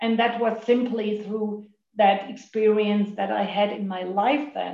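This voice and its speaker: A woman speaks at a fairly high pitch with a dark, mellow tone. Her intonation stays monotone and flat. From Germany. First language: German. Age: 50s. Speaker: recovering overeater sharing at meeting. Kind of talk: recovery meeting share. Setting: video call. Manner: halting.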